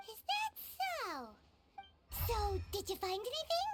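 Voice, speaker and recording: This is a cartoonish character voice, squeaky and extremely high in pitch. It moves at a moderate pace. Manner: questioning, wry.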